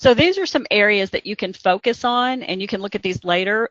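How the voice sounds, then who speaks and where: At a moderate pace, a woman talks with an American accent and ordinary pitch variation. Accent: Southern US (self-remarked, joking). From Kentucky. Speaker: healthcare quality consultant. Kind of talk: webinar presentation. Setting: webcast.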